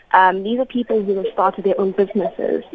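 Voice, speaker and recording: Noticeable background noise around a woman speaking at a medium pitch. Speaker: youth organisation communications officer. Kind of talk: radio panel discussion. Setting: phone call.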